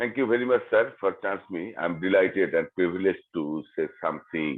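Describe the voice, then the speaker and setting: With a Bengali accent, a man speaks at a moderate pace. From Bangladesh. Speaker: English learner. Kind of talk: group discussion. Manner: halting.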